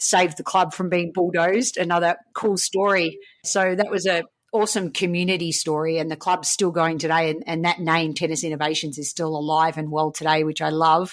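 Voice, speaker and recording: The speaker has an Australian accent and moves at a fairly quick pace. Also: woman, fairly low pitch for a woman. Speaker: coach and speaker. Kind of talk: interview. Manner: animated.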